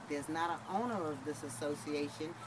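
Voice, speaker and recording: Amid audible room echo and noticeable background noise, a woman talks at a moderate pace with ordinary pitch variation. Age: 60s. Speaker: homeowner interviewed for student project. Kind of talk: interview testimony.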